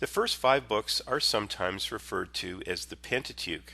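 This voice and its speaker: Against a quiet background, a man speaks with a Canadian accent. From western Canada. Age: 50s. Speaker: Bible teacher, engineer. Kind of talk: scripted narration. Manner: formal.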